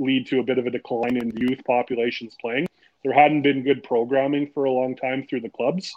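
With a Canadian accent and a normal speaking voice, a man speaks fairly quickly at a medium pitch with fairly even intonation. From Timmins, northern Ontario, Canada. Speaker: golf association director. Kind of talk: casual interview.

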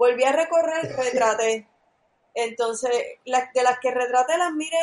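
High-pitched female speech with ordinary pitch variation. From Puerto Rico, near Levittown. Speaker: film director. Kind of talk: casual chat. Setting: online call.

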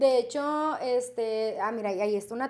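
With ordinary pitch variation, a woman talks in a high voice. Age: 30s. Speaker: tattoo artist. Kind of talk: interview. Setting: tattoo studio.

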